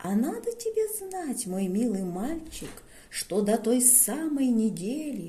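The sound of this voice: Everything here is delivered in an unforced reading voice.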